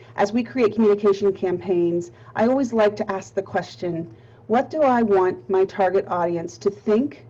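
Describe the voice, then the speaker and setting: With a Pittsburgh accent, a woman speaks at a moderate pace and medium pitch. Her intonation is lively. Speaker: nonprofit marketing presenter. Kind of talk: webinar presentation. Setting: webinar.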